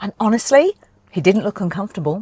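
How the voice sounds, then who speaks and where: The delivery is animated, with very wide pitch swings and a northern English accent. The sound is dry and close, with no echo. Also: woman. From northern England. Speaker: car reviewer. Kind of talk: car review presentation.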